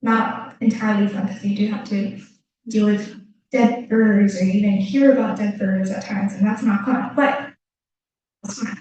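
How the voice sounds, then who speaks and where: A woman's somewhat breathy voice, dark and mellow in tone, at a moderate pace with fairly even intonation. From Japan. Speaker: graduate student. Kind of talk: presentation Q&A. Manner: halting.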